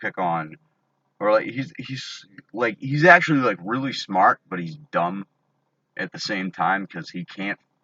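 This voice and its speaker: A shouting man at a moderate pace, fairly low in pitch, with lively intonation. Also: big swings in loudness. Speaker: vlogger ranting about online drama. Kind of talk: angry rant to camera. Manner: loud, yelling; halting, many fillers and restarts.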